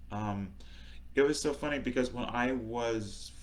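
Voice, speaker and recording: There is audible room echo around a man talking at a fairly low pitch. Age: 40s. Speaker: author. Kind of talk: live talk. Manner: halting.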